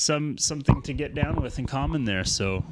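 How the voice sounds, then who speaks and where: An ordinary speaking voice from a man with a Canadian accent, lively intonation and a moderate pace. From Alberta, Canada. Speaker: electronic music live streamer. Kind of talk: casual livestream chat. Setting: home studio livestream.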